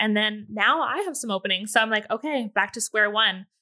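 A woman talks at a very fast pace with an American accent. Her pitch is fairly high. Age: 20s. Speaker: waxing salon owner. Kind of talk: casual chat. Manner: animated.

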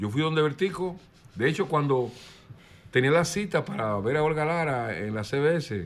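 A man at a moderate pace with lively intonation. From Dominican Republic, El Cedro de Miches. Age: 60s. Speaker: singer-songwriter. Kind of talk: interview.

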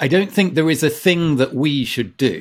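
In a very clean recording with a silent background, a man with an English accent and a fairly high pitch speaks at a moderate pace with lively intonation and vocal fry. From England. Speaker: author and former climate campaigner. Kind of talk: casual chat.

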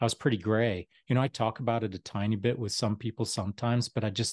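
A man with a Canadian accent talks at a fairly quick pace and a medium pitch. The sound is dry and close with no echo, over a quiet background. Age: 60s. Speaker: retired special forces soldier. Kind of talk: casual interview. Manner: animated.

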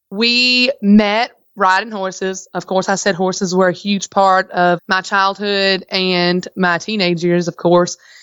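An energetic, animated voice with a strong Southern US accent. The delivery is fairly slow, with hardly any pauses. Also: woman, medium pitch for a woman. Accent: thick Southern US. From Virginia, US South. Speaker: farmers market manager and farmer. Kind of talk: casual interview chat.

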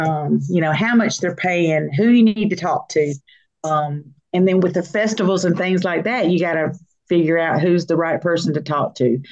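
An unremarkable speaking voice, a woman's, fairly low in pitch with ordinary pitch variation at a moderate pace. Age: 60s. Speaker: singer and songwriter. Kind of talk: interview.

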